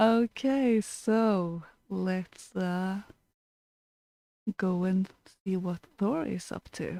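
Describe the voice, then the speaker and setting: A woman with a Norwegian accent speaks at a medium pitch in a dark, mellow tone. Her pace is very slow, with long, frequent pauses. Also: ordinary pitch variation. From Norway. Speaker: podcast co-host. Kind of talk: casual chat.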